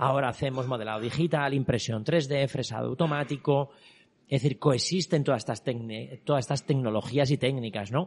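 This man's voice has a somewhat breathy quality. He talks at a fairly quick pace. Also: medium pitch for a man, ordinary pitch variation. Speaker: artist and exhibition creator. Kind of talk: interview. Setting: exhibition venue with visitors.

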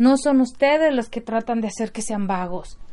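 A woman's fairly high, dark, mellow voice with ordinary pitch variation, at a fairly slow pace over a quiet background. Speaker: podcast host and mother. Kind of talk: casual monologue. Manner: halting, with repeated words.

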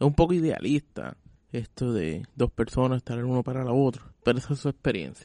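At a fairly quick pace, a man speaks with a dark, mellow tone and ordinary pitch variation. The sound is dry and close with no echo. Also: medium pitch for a man. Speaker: podcast host. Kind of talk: reflective scripted narration.

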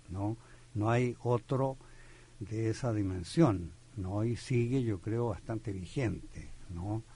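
A man speaks at a very slow pace with long, frequent pauses. His medium-pitched voice has a dark, mellow tone, is somewhat breathy, and shows ordinary pitch variation. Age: 80s+. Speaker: poet and literature professor. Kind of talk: radio interview. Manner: halting, many fillers.

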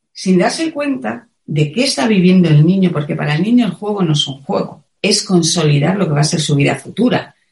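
A woman speaks in a somewhat breathy voice of medium pitch. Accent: Madrid. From Spain, Madrid. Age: 50s. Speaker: wellness teacher and author. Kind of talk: interview. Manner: passionate.

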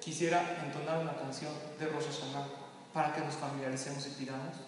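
There is audible room echo and noticeable background noise around this man. He talks at a fairly quick pace and fairly high pitch with fairly even intonation. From Mexico. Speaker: religious teacher. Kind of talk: lecture.

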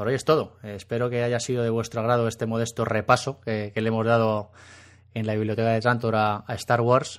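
A man speaks at a medium pitch in a flat monotone. The background is quiet. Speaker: podcast host. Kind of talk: casual chat.

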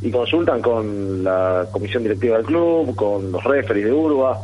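With noticeable background noise and audible room echo, a man speaks at a medium pitch with lively intonation. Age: 30s. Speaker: amateur rugby player. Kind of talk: radio interview.

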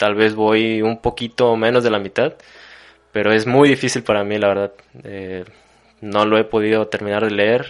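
Using long, frequent pauses, a man speaks at a moderate pace in a fairly low pitch with monotone, flat intonation. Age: 20s. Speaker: university student. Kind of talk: casual conversation.

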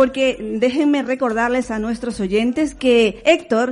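A woman talks at a high pitch with ordinary pitch variation. Her pace is fairly slow. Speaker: radio host. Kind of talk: interview.

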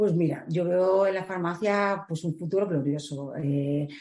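Dark and mellow in tone, the speech proceeds at a moderate speed. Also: woman. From Galicia, Spain (A Coruña). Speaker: visual merchandiser. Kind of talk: interview. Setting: in person, recorded live. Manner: hesitant, many fillers.

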